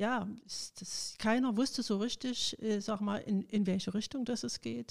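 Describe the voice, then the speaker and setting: An unremarkable speaking voice from a woman, fairly high in pitch, fairly slow, with fairly even intonation on a very clean recording against a silent background. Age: 60s. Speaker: retired trade union official. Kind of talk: interview.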